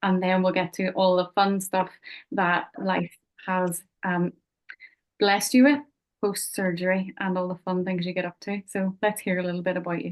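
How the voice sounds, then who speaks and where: A woman with a Belfast accent speaks at a moderate pace in a medium pitch, her intonation fairly even. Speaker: podcast host. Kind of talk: interview.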